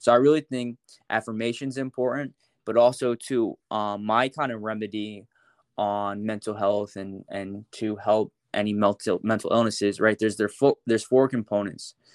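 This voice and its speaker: A plain, everyday voice from a man, fairly low in pitch, at a moderate pace with fairly even intonation, dry and close with no echo against a quiet background. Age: 20s. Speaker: social media content creator. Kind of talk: casual interview.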